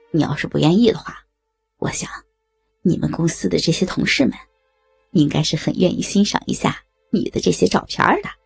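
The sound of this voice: Putting on a character voice with a husky, rough edge and vocal fry, a woman at a fairly low pitch talks at a fairly quick pace broken by long, frequent pauses, with faint music in the background. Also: ordinary pitch variation.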